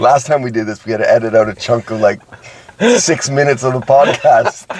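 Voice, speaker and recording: Over noticeable background noise, a man with an American accent speaks at a fairly quick pace in a medium pitch and an animated tone. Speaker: podcast co-host. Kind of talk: casual chat.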